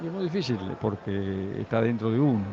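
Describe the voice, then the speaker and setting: A man speaks with lively intonation, and the room adds audible echo. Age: 60s. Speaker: guitarist musician. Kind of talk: backstage interview. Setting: festival.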